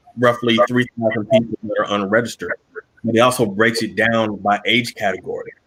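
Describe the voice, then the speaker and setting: Speaking at a moderate pace, a man has an ordinary speaking voice at a medium pitch. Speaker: mayor. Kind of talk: webinar panel discussion.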